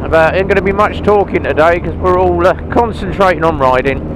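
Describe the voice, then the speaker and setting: Noticeable background noise runs under the recording, which is dry with no echo. A man speaks at a moderate pace. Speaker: motorbike rider vlogger. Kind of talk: casual vlog chat. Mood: relaxed, cheerful. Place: motorbike. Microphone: helmet.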